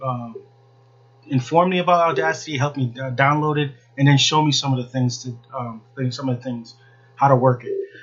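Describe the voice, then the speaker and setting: A man's medium-pitched voice at a very fast pace over noticeable background noise. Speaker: podcast host. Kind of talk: casual monologue. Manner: monotone; halting.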